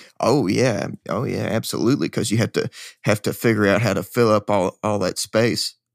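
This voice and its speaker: With a Kentucky accent and vocal fry, a man talks at a moderate pace in a fairly low voice, captured in a very clean recording with a silent background and a dry, close sound with no echo. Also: ordinary pitch variation. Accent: Kentucky Southern. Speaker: rock band singer and guitarist. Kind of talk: casual interview. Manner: halting, many repeats.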